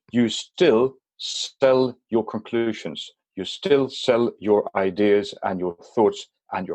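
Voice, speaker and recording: Speaking at a very slow pace with a Swedish accent, a man uses medium pitch and lively intonation in a dry, close recording without echo. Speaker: business consultant. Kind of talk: podcast interview. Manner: halting.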